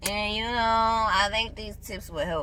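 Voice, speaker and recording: A woman at a moderate pace, with audible room echo around her voice. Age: 20s. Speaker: vlogger. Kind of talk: casual vlog tutorial. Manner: loud.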